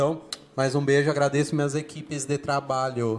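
A man talks at a very fast pace. Noticeable background noise runs beneath him. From Brazil, family from Bahia. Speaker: public speaking teacher and HR worker. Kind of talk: casual interview.

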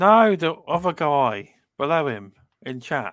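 In a British accent, the voice moves through very wide pitch swings. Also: man, very clean recording, silent background. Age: 30s. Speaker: gaming podcast co-host. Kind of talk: casual chat.

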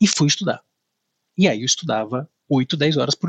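Speaking fairly high for a man, he uses lively intonation. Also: dry, close sound with no echo. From Brazil, northern Paraná (Maringá). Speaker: lawyer. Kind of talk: interview.

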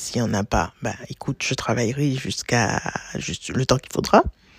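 A woman's very deep, low voice at a moderate pace, fairly even in intonation, dry and close with no echo, over noticeable background noise. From Martinique. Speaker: blogger and teacher. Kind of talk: interview. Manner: talkative.

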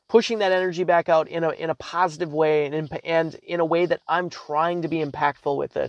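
Fairly quick and animated, a man with a high voice speaks in a dry, close sound with no echo. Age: 20s. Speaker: podcast host and realtor. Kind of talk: motivational monologue. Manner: halting, many false starts.

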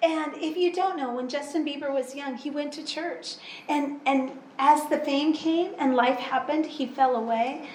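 Speaking very slowly with fairly even intonation, a woman's high-pitched voice carries over audible room echo and noticeable background noise. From US, Pacific Northwest. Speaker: interpreter. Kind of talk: sermon. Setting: church.

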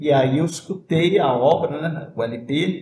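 A man with an unremarkable speaking voice, fairly high-pitched, with ordinary pitch variation. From southern Minas Gerais, Brazil (Itajubá). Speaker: violinist and music professor. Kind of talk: casual interview chat.

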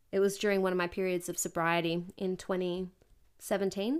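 A woman speaks at a moderate pace and medium pitch in a monotone, flat intonation, on a very clean recording with a silent background. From Australia, Newcastle NSW. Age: 20s. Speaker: podcast guest. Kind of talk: casual chat. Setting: host's home.

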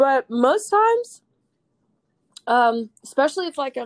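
In an American accent, a woman speaks at a moderate pace, the sound dry and close with no echo. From US South, North Carolina. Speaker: poet. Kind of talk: casual chat.

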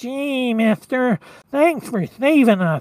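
In a put-on character voice, fairly high and nasal, someone whines along at a very slow pace. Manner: grateful, earnest.

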